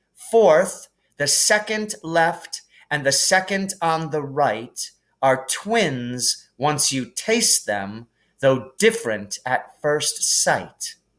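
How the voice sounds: A man puts on a character voice at a fairly high pitch with a fairly bright tone. He moves at a very slow pace with big pitch swings.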